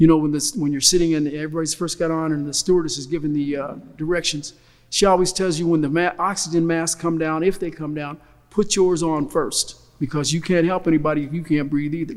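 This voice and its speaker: Speaking very fast, a man with an American accent keeps a fairly even intonation at a fairly high pitch. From US Midwest, Kokomo, Indiana. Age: 60s. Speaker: family elder speaking at a reunion. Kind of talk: recorded reflective talk.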